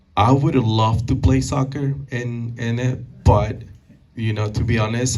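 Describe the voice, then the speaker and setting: A man with a Spanish accent speaks at a fairly slow pace in a medium pitch. He uses ordinary pitch variation, and audible room echo surrounds him. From Peru. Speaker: banker and community speaker. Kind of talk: Q&A at a public talk. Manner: halting, many fillers and repeated words.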